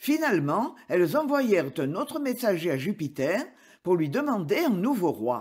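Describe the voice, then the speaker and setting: On a very clean recording with a silent background, a man speaks fairly slowly in a high pitch with very wide pitch swings. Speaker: audiobook narrator. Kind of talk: scripted narration, fable read aloud as a dramatic tale.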